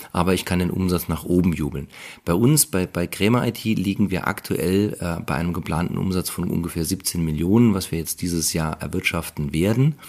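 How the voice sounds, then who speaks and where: Recorded very cleanly against a silent background, a man speaks at a moderate pace in a very deep, low pitch with ordinary pitch variation. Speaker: IT company founder and CEO. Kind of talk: interview.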